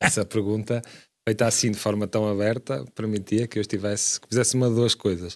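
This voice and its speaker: A man speaks at a fairly quick pace with a fairly low pitch and fairly even intonation. The recording is very clean, with a silent background. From Portugal, Braga (Minho). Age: 30s. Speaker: city councillor, lawyer. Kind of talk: radio interview.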